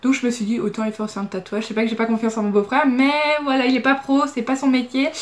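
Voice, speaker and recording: The speaker is a woman. Her voice sits high in pitch. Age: 20s. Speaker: beauty vlogger. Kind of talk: Q&A vlog. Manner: casual, hesitant.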